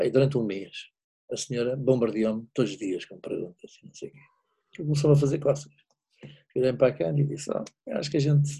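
A man with a European Portuguese accent speaks at a very fast pace in a dark, mellow tone, somewhat breathy, with lively intonation. Long, frequent pauses break his speech, and his loudness swings widely. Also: medium pitch for a man. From Portugal. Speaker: wine businessman living abroad. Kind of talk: casual chat.

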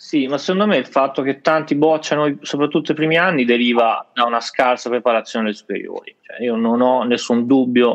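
Speaking at a moderate pace, he uses a plain, everyday voice. This man's pitch is medium, with ordinary pitch variation. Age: 20s. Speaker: university student. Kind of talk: casual online panel discussion.

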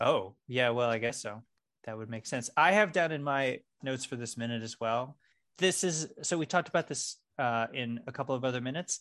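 With a normal speaking voice, a man talks at medium pitch and a fairly quick pace, with ordinary pitch variation and a quiet background. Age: 40s. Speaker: podcast co-host. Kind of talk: casual chat.

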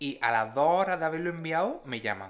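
A man with a normal speaking voice talks at a fairly quick pace in a fairly high pitch. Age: 20s. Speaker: podcast co-host. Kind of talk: casual chat.

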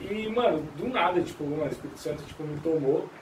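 There is noticeable background noise and audible room echo as a man talks fairly quickly. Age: 20s. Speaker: church member, musician. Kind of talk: casual chat.

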